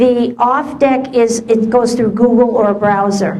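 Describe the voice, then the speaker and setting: A woman speaks at a high pitch with fairly even intonation. Audible room echo and noticeable background noise surround her. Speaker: SEO presenter. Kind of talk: presentation. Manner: fast; halting.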